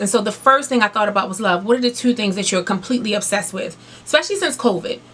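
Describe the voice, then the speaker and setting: Ordinary pitch variation from a woman, with noticeable noise in the background. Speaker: beauty and lifestyle YouTuber. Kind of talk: casual vlog talk to camera. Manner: fast; loud.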